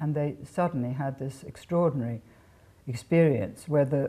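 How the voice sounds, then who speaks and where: In an RP accent, a woman speaks at a very deep, low pitch. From England. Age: 80s+. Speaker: author. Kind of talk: interview. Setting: home. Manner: halting.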